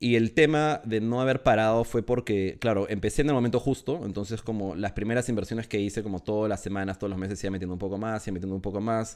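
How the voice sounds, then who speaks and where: A man with a fairly low pitch and ordinary pitch variation talks very fast with hardly any pauses, on a very clean recording with a silent background. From Peru. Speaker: NFT project founder. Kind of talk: casual interview.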